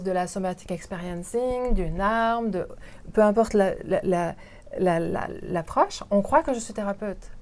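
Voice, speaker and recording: On a very clean recording with a silent background, a woman talks at a medium pitch and a fairly slow pace, with ordinary pitch variation. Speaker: interpreter and voiceover artist. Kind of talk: interview answer.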